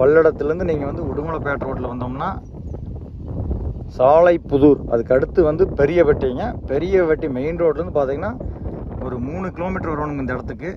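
A man with a fairly high pitch speaks at a fairly quick pace, his pitch varying in an ordinary way over clear background noise.

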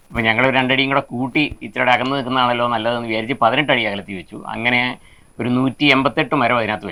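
A man speaks in a bright, sharp tone with fairly even intonation. His loudness swings widely. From Kerala. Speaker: retired headmaster and farmer. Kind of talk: interview. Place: garden. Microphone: lapel.

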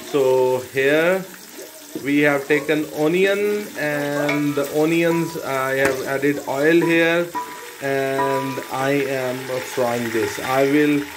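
Speech comes at a very slow pace with music playing in the background. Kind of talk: cooking tutorial narration. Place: kitchen. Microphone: phone near.

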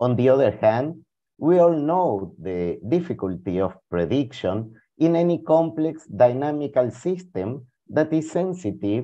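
This man has a Spanish accent and a dark, mellow tone. He moves through very wide pitch swings at a fairly slow pace. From Argentina. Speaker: philosopher and historian of science; presenter. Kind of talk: reading prepared talk. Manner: formal.

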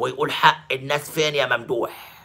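In an Egyptian accent, a man speaks at a fairly slow pace. His tone is bright and sharp, with vocal fry. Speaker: sports journalist and pundit; sports journalist, pundit. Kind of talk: video monologue commentary. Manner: animated. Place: home room. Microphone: phone near.

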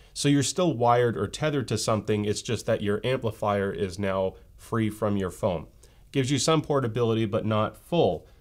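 This man's voice sits fairly low in pitch, with ordinary pitch variation. The background is quiet. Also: moderate pace. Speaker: tech reviewer. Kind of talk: product review commentary. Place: home room.

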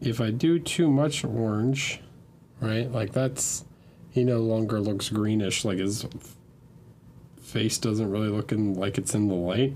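Over light background noise, a man with a fairly low voice speaks at a fairly slow pace, his pitch varying in an ordinary way. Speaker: miniature painting instructor. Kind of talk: tutorial. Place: home room.

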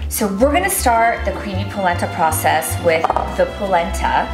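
Fairly quick female speech over clear background music. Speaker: cooking show host. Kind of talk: cooking tutorial. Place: kitchen.

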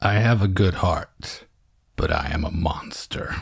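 In a put-on character voice, a man speaks at a very deep, low pitch. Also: fairly slow pace.

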